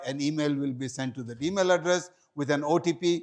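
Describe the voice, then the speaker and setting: This man talks at a fairly quick pace. His pitch varies an ordinary amount. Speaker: hajj guide and seminar presenter. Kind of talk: seminar presentation. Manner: fast.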